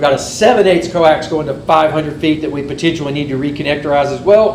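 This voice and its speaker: There is noticeable background noise and audible room echo as a man speaks at a fairly quick pace in a fairly high pitch. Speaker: amateur radio club officer. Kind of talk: club meeting presentation. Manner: fast.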